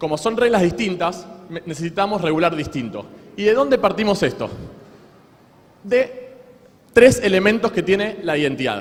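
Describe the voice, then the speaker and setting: A man's high-pitched voice with lively intonation and long, frequent pauses, over noticeable background noise. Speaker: law lecturer. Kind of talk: lecture. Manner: fast.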